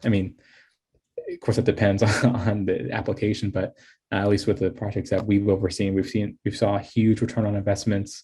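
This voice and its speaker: A man speaks at a fairly quick pace in a dark, mellow, somewhat breathy voice. The background is quiet. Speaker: software company presenter. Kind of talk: presentation. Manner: halting.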